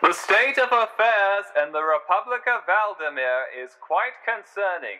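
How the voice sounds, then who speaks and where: A man speaks at a fairly slow pace with a high, raised and projected voice. His pitch swings very widely, and his loudness swings a lot too. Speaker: amateur narrator / hobbyist writer of a fictional world. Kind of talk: news broadcast narration. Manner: formal, newsreader delivery.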